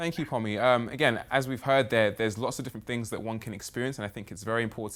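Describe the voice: Here a man speaks with a fairly low pitch and ordinary pitch variation. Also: fairly bright tone.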